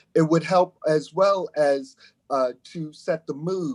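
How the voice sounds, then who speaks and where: The speech moves at a moderate pace with ordinary pitch variation. The sound is dry and close, with no echo. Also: man. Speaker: music composer. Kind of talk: sales pitch. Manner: halting.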